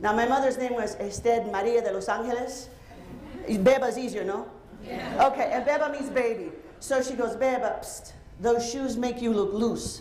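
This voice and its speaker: A high-pitched woman with a Spanish accent talks at a moderate pace, with audible room echo and noticeable background noise. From Cuba. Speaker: psychologist and keynote speaker. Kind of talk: keynote speech. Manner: vibrant, highly energetic. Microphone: handheld mic picked up after starting without.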